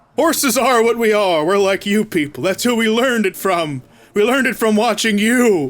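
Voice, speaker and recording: A high-pitched put-on character voice from a man, at a moderate pace. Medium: actual play. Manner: pompous, haughty.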